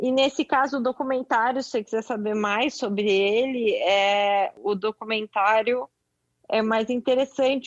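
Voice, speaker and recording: Against a quiet background, a woman talks at a fairly slow pace in dry, close sound with no echo. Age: 30s. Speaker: journalist and screenwriter. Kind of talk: casual chat.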